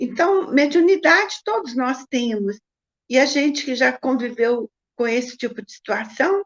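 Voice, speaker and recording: A woman with a high pitch and lively intonation, at a fairly slow pace, with big swings in loudness and a dry, close sound with no echo. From Brazil, Minas Gerais (Triângulo Mineiro). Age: 70s. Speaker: spiritist writer and painter. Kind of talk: interview.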